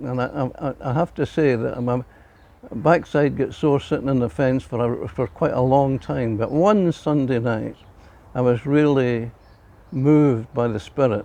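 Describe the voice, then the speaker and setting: A man speaks at a moderate pace in a medium-pitched voice with a dark, mellow tone and ordinary pitch variation. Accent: Glaswegian. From Scotland, Glasgow. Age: 80s+. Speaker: church member. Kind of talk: testimony. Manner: halting.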